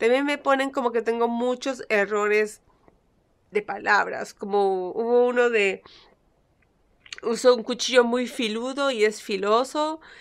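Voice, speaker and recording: Over a quiet background, a woman talks at a fairly slow pace with fairly even intonation and long, frequent pauses. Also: fairly high pitch for a woman. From Peru. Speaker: YouTuber; vlogger. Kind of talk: casual vlog monologue. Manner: halting, stumbles over words. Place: home room. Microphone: phone near.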